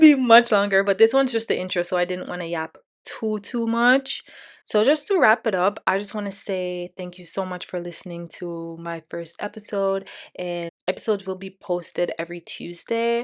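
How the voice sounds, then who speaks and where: The speaker has a Canadian accent. The background is quiet. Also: woman, medium pitch for a woman, ordinary pitch variation, moderate pace, big swings in loudness. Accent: Canadian-tinged. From Jamaica. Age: 20s. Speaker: podcast host. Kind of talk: casual monologue. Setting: home recording on laptop. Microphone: MacBook camera with a nice mic.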